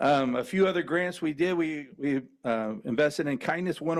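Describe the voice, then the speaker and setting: A man's fairly high voice with a Southern US accent, ordinary pitch variation, and a quiet background. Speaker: foundation volunteer speaking at public comment. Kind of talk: public comment speech. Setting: school board meeting.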